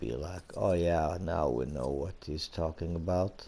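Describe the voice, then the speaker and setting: A man's very deep, low voice with a Swedish accent, dark and mellow in tone, at a very slow pace. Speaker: gaming YouTuber. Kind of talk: gameplay commentary. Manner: halting.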